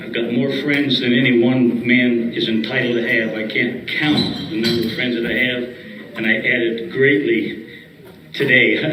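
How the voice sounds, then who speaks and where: In an American accent, a man talks at a fairly slow pace with fairly even intonation, amid audible room echo and noticeable background noise. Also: medium pitch for a man. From Michigan, US Midwest. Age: 80s+. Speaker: retired racing crew chief and car owner. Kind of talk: speech to an audience. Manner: halting, repeats words.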